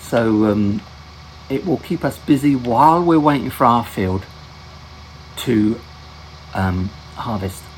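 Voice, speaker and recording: Very wide pitch swings from a man, amid noticeable background noise. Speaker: gaming video host. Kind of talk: gameplay commentary. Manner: halting, many fillers and restarts; whispering.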